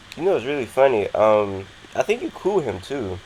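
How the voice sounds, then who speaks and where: A man with an American accent talks at a very fast clip as noticeable background noise plays underneath. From Florida. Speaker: interviewer, channel host. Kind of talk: casual interview.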